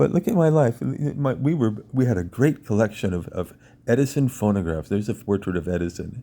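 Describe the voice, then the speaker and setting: A man speaks at a moderate pace with lively intonation. His voice sits at a medium pitch and has a dark, mellow tone. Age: 60s. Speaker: piano technician and vlogger. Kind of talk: personal monologue. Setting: at home in a chair. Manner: halting, repeating words.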